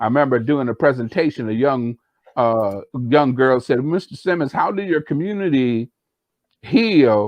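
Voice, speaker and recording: Lively in intonation and fairly high in pitch, a man speaks at a moderate pace. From US Midwest (Rock Island, Illinois). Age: 60s. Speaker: podcast co-host, community healing speaker. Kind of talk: casual discussion. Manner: halting, many fillers and repeats.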